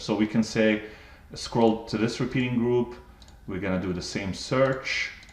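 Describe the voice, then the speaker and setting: A man's voice at medium pitch, an ordinary speaking voice with ordinary pitch variation. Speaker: software trainer. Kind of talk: tutorial. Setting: live webinar.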